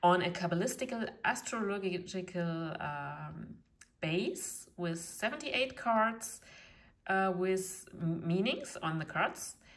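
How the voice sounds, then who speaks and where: Spoken very slowly with a German accent and ordinary pitch variation, the voice carries audible room echo. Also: woman, medium pitch for a woman. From eastern Germany. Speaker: tarot reader. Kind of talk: tutorial; casual chat. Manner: halting, many fillers.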